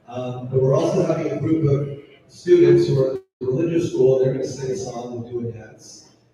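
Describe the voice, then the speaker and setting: A man speaks at a fairly quick pace. Audible room echo and noticeable background noise surround his voice. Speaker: lecturer. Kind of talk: lecture. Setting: hall with audience, PA system. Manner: loud.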